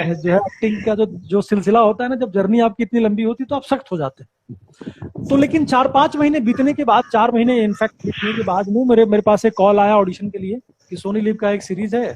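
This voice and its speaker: Recorded dry and close with no echo, a man speaks at a moderate pace in a high pitch, with ordinary pitch variation. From Bihar. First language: Bajjika / Bhojpuri (speaking Hindi). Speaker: actor. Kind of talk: interview.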